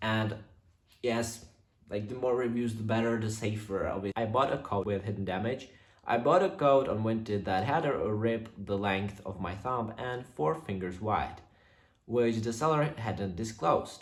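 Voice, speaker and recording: A man with a non-native accent speaks at a medium pitch and moderate pace with ordinary pitch variation. Noticeable background noise and audible room echo fill the recording. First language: not English. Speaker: YouTuber reading viewer stories. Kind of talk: reading aloud with casual commentary. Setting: on camera, home recording. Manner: halting, many fillers.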